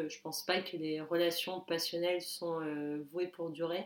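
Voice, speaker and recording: The speaker moves at a fairly slow pace in a monotone, flat intonation. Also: woman. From southern France, Toulon. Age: 20s. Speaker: podcast guest, digital media worker. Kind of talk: casual chat.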